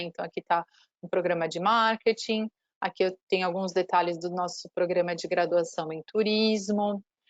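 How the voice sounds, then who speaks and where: Here a woman talks at a moderate pace and a medium pitch, in a normal speaking voice with fairly even intonation. The sound is dry and close, with no echo. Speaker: university marketing representative. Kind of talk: online presentation.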